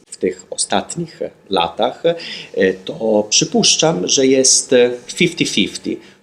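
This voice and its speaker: A man talks at a fairly slow pace with very even loudness. His pitch swings very widely. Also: medium pitch for a man. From Italy, Turin. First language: Italian. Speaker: magazine editor and blogger. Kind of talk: interview. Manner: halting.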